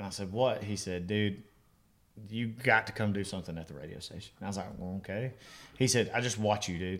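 Speaking with an Alabama accent, a man talks at a fairly low pitch and a fairly quick pace. His loudness swings widely while his pitch varies in an ordinary way. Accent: Southern US (Alabama). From Alabama, US South. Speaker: country musician. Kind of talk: casual chat.

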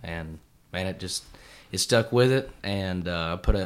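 In an Appalachian accent, a man speaks with a fairly low pitch. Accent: Southern US (Appalachian). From East Tennessee. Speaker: country singer-songwriter. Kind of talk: casual interview.

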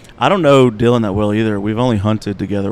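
With an Alabama accent, a man speaks at a fairly low pitch. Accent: Alabama Southern. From US South, Montgomery, Alabama. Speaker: digital marketer and artist manager. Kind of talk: casual interview chat. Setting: live at a country music venue.

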